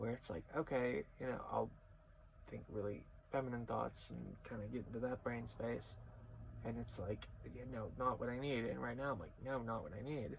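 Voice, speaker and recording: The speech is mumbled at a moderate pace. Long, frequent pauses break it up. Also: man. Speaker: crossdressing vlogger. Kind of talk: casual vlog monologue. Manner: trails off and mumbles; practiced feminine voice that keeps slipping.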